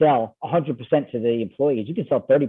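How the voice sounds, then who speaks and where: In an American accent, a man speaks at a fairly high pitch. His pace is fairly quick. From New York. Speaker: ESOP investment banker. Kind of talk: podcast interview. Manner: fast; animated.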